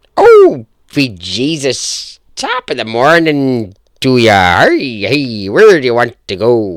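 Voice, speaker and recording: Recorded very cleanly against a silent background, a put-on character voice moves at a very slow pace with lively intonation. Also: man, medium pitch for a man. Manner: exaggerated, jovial.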